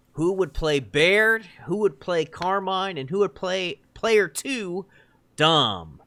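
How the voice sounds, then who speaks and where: On a very clean recording with a silent background, a man speaks very slowly in a raised, projected voice that is high-pitched, bright and sharp, with ordinary pitch variation. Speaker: podcast host. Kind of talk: casual chat. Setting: recorded podcast with co-hosts.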